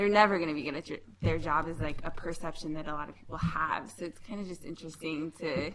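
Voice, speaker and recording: Over noticeable background noise, the speaker rushes along at a very fast pace with hardly any pauses, fairly even intonation and big swings in loudness. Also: woman, very deep, low pitch for a woman. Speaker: railroad roadmaster. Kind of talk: casual panel discussion. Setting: live event with audience.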